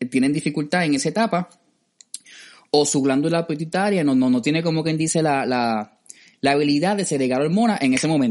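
A man with a fairly high pitch talks at a very fast pace with lively intonation. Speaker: podcast host. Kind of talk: casual chat.

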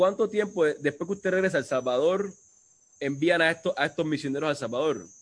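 An unremarkable speaking voice moves at a fairly quick pace with very even loudness and ordinary pitch variation. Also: man, fairly high pitch for a man. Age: 30s. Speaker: livestream host. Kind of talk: casual interview. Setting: video call.

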